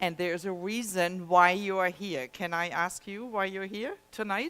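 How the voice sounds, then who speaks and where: A woman's bright, sharp voice with a German accent. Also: medium pitch for a woman, ordinary pitch variation, moderate pace. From Germany. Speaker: health technology presenter. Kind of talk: presentation to a live audience. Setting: presentation room with audience.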